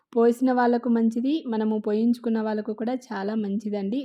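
A woman's fairly high pitch with a dark, mellow tone and monotone, flat intonation. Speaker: vlogger. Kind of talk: travel vlog narration.

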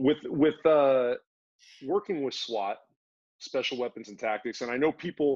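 An unremarkable speaking voice from a man of medium pitch, moderate pace and ordinary pitch variation, in a dry, close sound with no echo. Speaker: podcast host. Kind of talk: casual interview. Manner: casual.

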